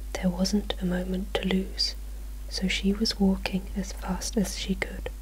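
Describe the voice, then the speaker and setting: Soft-spoken and with a British accent, the speaker goes at a fairly slow pace over noticeable background noise. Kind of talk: storybook reading. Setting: home, some traffic noise. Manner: soft-spoken, quiet.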